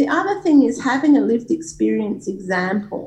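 A woman with an Australian accent speaks at a moderate pace in a somewhat breathy voice. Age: 40s. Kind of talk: interview. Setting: video call.

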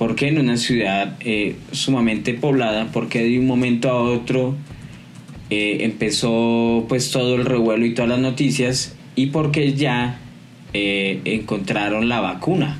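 There is audible room echo as a man speaks at a fairly slow pace and a medium pitch. His intonation is fairly even and his loudness very even. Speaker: podcast co-host. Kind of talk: casual chat.

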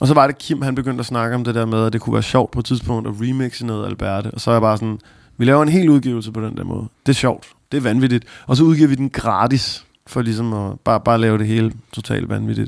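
A man's medium-pitched voice at a very fast pace, with fairly even intonation, in a very clean recording over a silent background. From Copenhagen area, Denmark. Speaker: rapper. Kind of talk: interview. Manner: halting.

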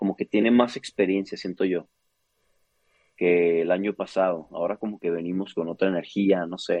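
Speaking at a moderate pace with fairly even intonation, a man with a northern Mexican accent has a fairly low pitch. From northern Mexico, Chihuahua. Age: 30s. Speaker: opera singer. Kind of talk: interview.

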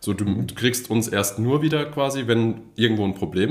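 A man speaks with ordinary pitch variation. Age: 30s. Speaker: data architect. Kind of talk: interview. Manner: halting.

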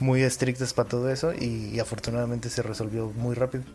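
This is a man speaking. His pace is fairly quick. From Mexico. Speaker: music YouTuber. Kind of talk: interview conversation. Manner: halting, many fillers.

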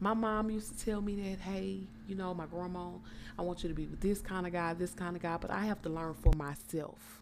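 In an animated tone, a woman with a fairly low pitch talks at a fairly quick pace. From Texas, Port Arthur. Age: 20s. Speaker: podcast guest, host's cousin. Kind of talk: casual chat.

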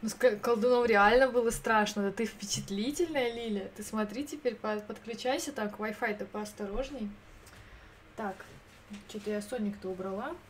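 Noticeable background noise surrounds a woman talking at a fairly high pitch and a moderate pace, with ordinary pitch variation and long, frequent pauses. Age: 30s. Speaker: streamer. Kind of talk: casual chat. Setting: live stream. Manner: animated.

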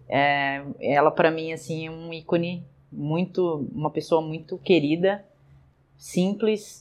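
Very slow and very deep, a woman's low voice keeps fairly even intonation. Her loudness swings widely. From Brazil, interior. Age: 30s. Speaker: basketball coach and athlete. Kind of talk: interview.

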